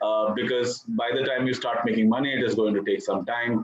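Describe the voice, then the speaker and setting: A man with an Indian accent at a fairly quick pace, with fairly even intonation and noticeable background noise. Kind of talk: interview answer.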